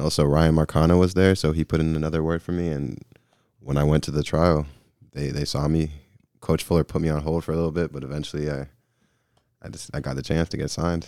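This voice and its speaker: A man with an American accent, very deep and low in pitch, dark and mellow in tone, flat and monotone, at a very fast pace broken by long, frequent pauses. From US South, Georgia (Gwinnett County). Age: 20s. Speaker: professional soccer goalkeeper. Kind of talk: casual chat. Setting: studio.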